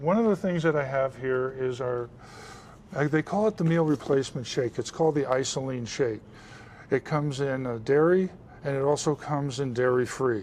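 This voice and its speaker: Using an unremarkable speaking voice, a man talks at a moderate pace and fairly high pitch with ordinary pitch variation. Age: 60s. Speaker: military veteran and supplement seller. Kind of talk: interview on a lifestyle show.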